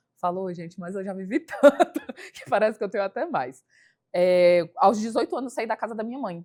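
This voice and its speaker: In an ordinary speaking voice, a woman of medium pitch talks at a moderate pace with lively intonation. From Brasília, Brazil (satellite city). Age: 30s. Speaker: hairstylist and entrepreneur.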